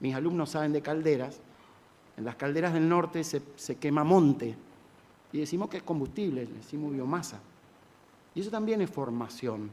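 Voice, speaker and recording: Dark and mellow in tone yet fairly high in pitch, a man's voice moves at a moderate pace. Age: 60s. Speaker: government climate official. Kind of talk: panel speech. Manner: halting.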